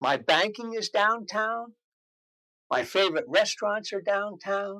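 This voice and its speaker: A man with an American accent uses a raised, projected voice with a bright, sharp tone and a high pitch. He talks at a fairly slow pace with ordinary pitch variation. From US Northeast, New Jersey (Morristown). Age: 70s. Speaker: interviewee, longtime local resident. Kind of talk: interview.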